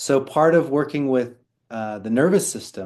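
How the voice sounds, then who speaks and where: A man speaks in a normal speaking voice at a medium pitch with ordinary pitch variation. His pace is fairly slow, and the background is quiet. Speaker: Chinese medicine practitioner teaching a class. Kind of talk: online class lecture. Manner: conversational with fillers.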